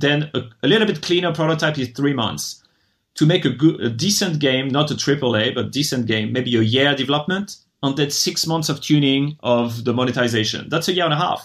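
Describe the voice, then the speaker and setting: With a French accent, a man talks at a fairly quick pace and fairly high pitch, with ordinary pitch variation. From France. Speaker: venture investor. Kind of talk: interview.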